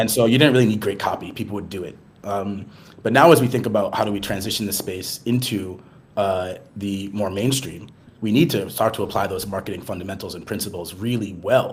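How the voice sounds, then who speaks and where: In an American accent, a man with a fairly low, somewhat breathy voice talks at a fairly quick pace with ordinary pitch variation, and audible room echo can be heard. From US, Boston. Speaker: marketing executive. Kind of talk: podcast interview. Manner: fast, many fillers and false starts.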